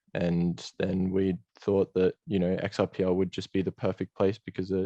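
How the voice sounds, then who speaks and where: In an Australian accent, a man talks at a moderate pace with a very deep, low pitch and monotone, flat intonation. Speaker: game project co-founder. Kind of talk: interview. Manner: hesitant, many fillers.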